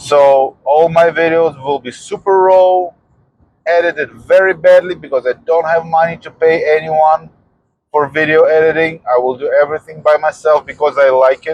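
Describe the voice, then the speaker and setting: With a strong non-native accent, a man speaks at a fairly high pitch. His pace is moderate and his intonation fairly even. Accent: heavy foreign. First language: not English. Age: 40s. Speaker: fitness vlogger. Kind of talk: personal vlog monologue. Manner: halting.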